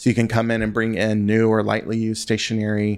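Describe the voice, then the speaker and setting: A man with an American accent speaks at a fairly quick pace, fairly low in pitch and monotone in intonation, on a very clean recording with a silent background. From US South, western North Carolina. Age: 30s. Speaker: stationery shop owner. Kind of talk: casual interview.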